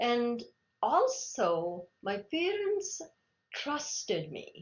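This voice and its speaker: A woman speaks with a Telugu accent. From India, Telugu-speaking region. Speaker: Linux kernel maintainer. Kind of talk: interview. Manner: halting, many restarts.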